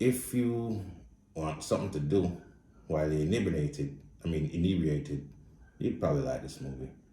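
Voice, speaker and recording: In a Jamaican accent, a dark, mellow voice with vocal fry rises and falls in a lively way, broken by long, frequent pauses, with room echo audible. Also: man, very deep, low pitch for a man, moderate pace. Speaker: blind movie reviewer. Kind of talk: casual spoken movie review. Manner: casual, blunt.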